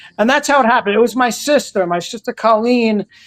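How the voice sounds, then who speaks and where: A man talks at a fairly quick pace in a New York accent. His pitch varies ordinarily, and the sound is dry and close with no echo. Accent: New York, rough around the edges. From New York City (Queens, Brooklyn). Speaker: game show contestant, social media creator. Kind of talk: casual podcast interview. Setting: podcast interview. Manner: animated.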